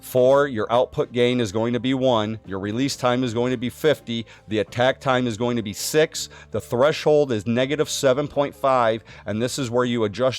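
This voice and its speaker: Using a plain, everyday voice, a man speaks at a moderate pace with a medium pitch and ordinary pitch variation. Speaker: streamer giving tech tutorial. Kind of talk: tutorial. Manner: casual. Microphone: studio USB condenser mic with processing.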